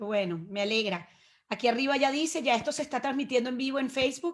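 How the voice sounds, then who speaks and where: A woman with a Venezuelan accent, high-pitched, very fast, and lively in intonation. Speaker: webinar host. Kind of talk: webinar moderation. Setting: video call.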